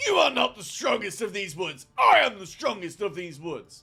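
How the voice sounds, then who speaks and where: A man talks in a high pitch. He is using a put-on character voice. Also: moderate pace. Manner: boastful, aggressive.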